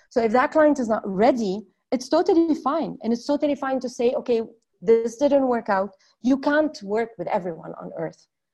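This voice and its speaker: At a moderate pace, a woman speaks with a high pitch, a dark, mellow tone and lively intonation. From northern Lebanon. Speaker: entrepreneur. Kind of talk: interview.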